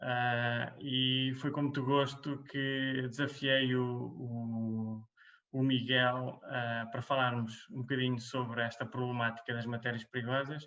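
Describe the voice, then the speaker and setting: Very slow, monotone, flat speech from a man at a medium pitch. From central Portugal, Águeda. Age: 30s. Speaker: environmental engineer, webcast co-host. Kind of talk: casual webcast conversation. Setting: webcast.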